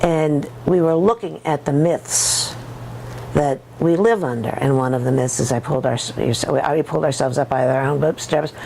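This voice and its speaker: The speaker keeps a moderate pace with ordinary pitch variation, against noticeable background noise. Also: woman, very deep, low pitch for a woman. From USA. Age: old. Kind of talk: interview testimony. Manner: halting, many repetitions and false starts.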